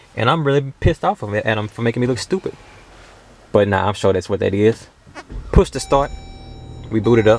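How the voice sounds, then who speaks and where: A man talks at a fairly quick pace and medium pitch, with long, frequent pauses. Noticeable background noise runs underneath. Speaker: car reviewer. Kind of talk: casual car review walkthrough. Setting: inside a car. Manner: casual, conversational.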